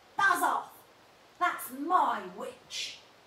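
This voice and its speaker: A woman's put-on character voice, extremely high, shrill and croaky with growling, plus a slight echo. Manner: angry, shouting.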